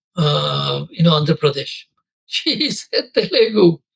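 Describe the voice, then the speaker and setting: With a Bengali accent, a man speaks at a moderate pace in a dry, close sound with no echo. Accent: Bengali Indian English, unchanged. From India, Bengal. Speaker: corporate lawyer. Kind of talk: interview. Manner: hesitant fillers.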